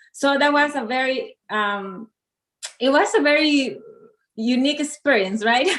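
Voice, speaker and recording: A woman with a Spanish accent speaks in a high voice. She keeps a moderate pace with ordinary pitch variation. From Mexico. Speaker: model and coach. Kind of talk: interview. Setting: live stream.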